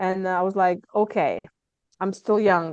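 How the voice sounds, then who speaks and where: In a slight Lithuanian accent, a woman speaks at a medium pitch and moderate pace with fairly even intonation. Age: 30s. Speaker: stress management coach. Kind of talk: podcast interview.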